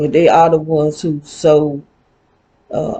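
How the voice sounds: A woman speaks at a low pitch and a fairly slow pace, her dark, mellow tone carrying a slightly husky edge and little pitch movement.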